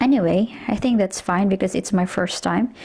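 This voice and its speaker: A woman with a Filipino accent speaks at a medium pitch. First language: Tagalog. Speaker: home cook vlogger. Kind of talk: cooking tutorial. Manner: casual, with hesitations.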